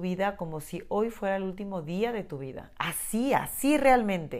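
Lively intonation from a woman at a medium pitch. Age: 40s. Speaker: podcast host. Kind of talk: personal reflective monologue. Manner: halting.

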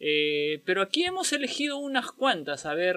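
Very wide pitch swings mark this man's fairly slow delivery. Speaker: podcast co-host. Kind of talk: casual chat. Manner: animated.

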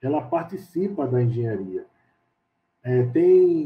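Very wide pitch swings in a man's fairly slow talk. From Recife, Pernambuco, Brazil. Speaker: civil engineer. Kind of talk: interview. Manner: halting.

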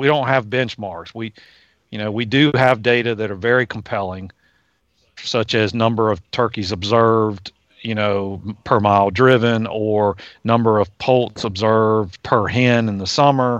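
A man with an American accent and an unremarkable speaking voice talks at a fairly slow pace and medium pitch, his intonation fairly even, against a quiet background. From Virginia, US. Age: 50s. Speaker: wildlife scientist. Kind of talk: casual interview.

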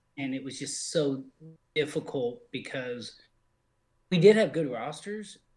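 A somewhat breathy man's voice at a fairly slow pace, with lively intonation. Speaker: sim league broadcaster. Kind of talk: casual group chat about sim football broadcasting.

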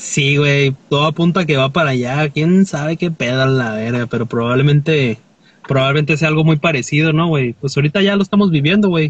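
Somewhat breathy, a man with fairly high pitch speaks at a fairly quick pace. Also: ordinary pitch variation. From Mexico, Tecate, Baja California. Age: 20s. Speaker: clothing store owner and folk musician. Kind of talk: casual chat. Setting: in a car, remote call.

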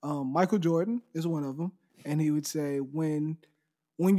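A man with an American accent speaks at a moderate pace in a fairly high voice. He has a plain, everyday voice and ordinary pitch variation. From Texas, near Houston. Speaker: photographer and videographer. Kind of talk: casual interview chat.

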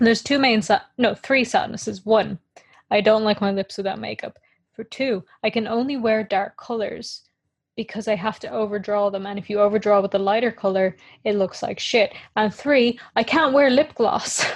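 A woman uses a normal speaking voice, fairly high-pitched for a woman. She talks at a moderate pace over a quiet background. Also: ordinary pitch variation. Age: 20s. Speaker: podcast co-host. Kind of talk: casual chat.

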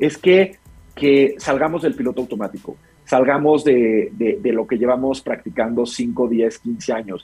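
This man's fairly high voice swings very widely in pitch as he talks fairly slowly. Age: 40s. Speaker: mental health coach for business leaders. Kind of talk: interview.

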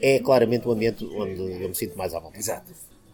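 A very fast pace over noticeable background noise. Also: man. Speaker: craft beer figure. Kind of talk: interview. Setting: bar. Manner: hesitant, many fillers.

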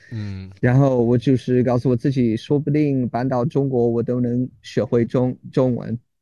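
A man with a medium-pitched voice and a dark, mellow tone talks at a fairly slow pace, with hardly any pauses. His intonation is fairly even, and the background is quiet. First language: English (speaking Chinese). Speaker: English teacher in China. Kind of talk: casual interview chat. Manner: halting, many fillers and repetitions.

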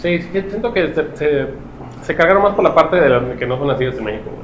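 A man with a Mexican accent speaks at a moderate pace with lively intonation, amid noticeable background noise and audible room echo. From Mexico. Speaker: podcast co-host. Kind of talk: casual chat.

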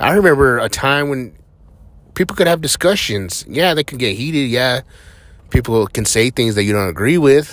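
A man speaks at a moderate pace with a medium pitch. His intonation is lively. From New Mexico, US. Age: 30s. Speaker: podcaster. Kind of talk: casual monologue. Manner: rambling, filler-heavy.

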